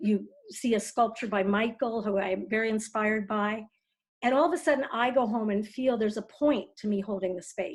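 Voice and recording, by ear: The clip is someone reading aloud in a natural voice. The background is quiet.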